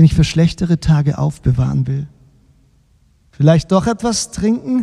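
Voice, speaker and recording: A man's deadpan tone at a fairly high pitch and a fairly slow pace, with dry, close, echo-free sound. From Baden-Württemberg, Germany. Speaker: novelist reading his own book.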